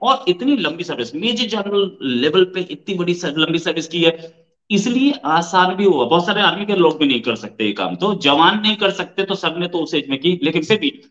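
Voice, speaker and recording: A bright, sharp tone swings very widely in pitch. The pace is moderate and the background quiet. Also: man. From India. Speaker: news channel host. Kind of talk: interview. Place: home room. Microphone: webcam.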